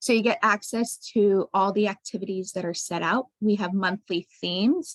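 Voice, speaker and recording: A woman at a moderate pace and medium pitch, an ordinary speaking voice, with a dry, close sound with no echo. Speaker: science center educator. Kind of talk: presentation. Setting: video call.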